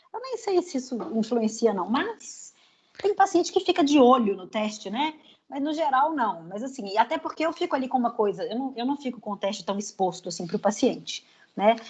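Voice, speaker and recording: This woman's high voice swings very widely in pitch as she keeps a moderate pace. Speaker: psychologist teaching a training class. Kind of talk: lecture.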